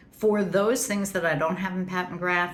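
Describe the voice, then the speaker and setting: Audible room echo surrounds a woman whose pitch is fairly low. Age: 60s. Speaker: beauty YouTuber. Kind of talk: makeup product review. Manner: casual, chatty.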